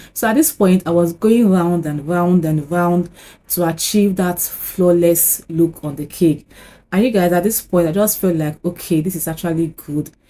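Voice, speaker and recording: The voice has a dark, mellow tone and fairly even intonation at a moderate pace. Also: woman, fairly low pitch for a woman. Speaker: cake decorating YouTuber. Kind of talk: tutorial.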